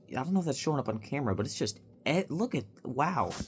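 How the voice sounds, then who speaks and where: The man's voice comes across as somewhat breathy. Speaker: vlogger. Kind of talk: casual chat. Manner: quieter than usual; rambling with fillers.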